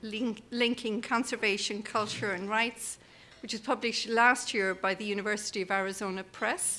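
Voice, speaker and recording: A woman's bright, sharp voice at a moderate pace, with fairly even intonation. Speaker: conference host introducing the keynote speaker. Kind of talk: speaker introduction. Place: hall. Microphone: podium.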